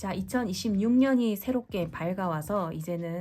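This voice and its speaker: A woman's somewhat breathy voice with lively intonation, at a fairly slow pace. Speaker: tarot reader. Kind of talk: tarot reading talk to camera. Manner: calm, clear.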